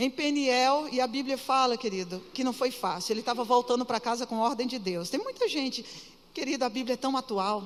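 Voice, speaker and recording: A woman's high voice at a moderate pace, animated in tone with ordinary pitch variation. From Pará, northern Brazil. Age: 50s. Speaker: pastor. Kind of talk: sermon. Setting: church.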